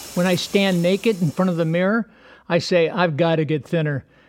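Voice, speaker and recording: Over noticeable background noise, a man speaks at a fairly quick pace in a high-pitched voice. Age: 70s. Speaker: humorist. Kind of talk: comedic monologue.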